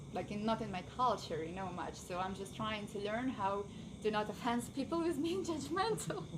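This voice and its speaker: A woman with a fairly high pitch and very wide pitch swings at a moderate pace, amid audible room echo and noticeable background noise. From Ukraine. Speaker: workshop attendee. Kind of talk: group discussion. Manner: halting.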